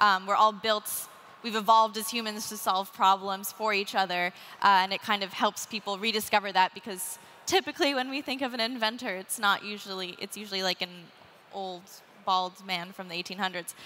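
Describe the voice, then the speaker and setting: With a Canadian accent, the voice sounds bright and sharp, and its intonation stays fairly even. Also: woman, fairly quick pace. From Canada. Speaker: inventor and writer; panelist. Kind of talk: panel discussion. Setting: stage with live audience. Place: stage. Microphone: headset.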